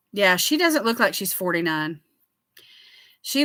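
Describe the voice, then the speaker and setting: Very clean and silent in the background, this recording has a woman with a Southern US accent at a medium pitch. Her tone is bright, sharp and animated, with very wide pitch swings. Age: 60s. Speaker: skincare livestreamer. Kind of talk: casual chat.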